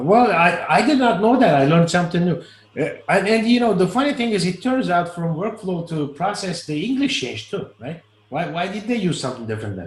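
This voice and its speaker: A man with a non-native accent talks at a fairly quick pace. His pitch is high, with very wide swings. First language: not English. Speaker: Salesforce flow trainer. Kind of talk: live online training session. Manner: halting, repeats words.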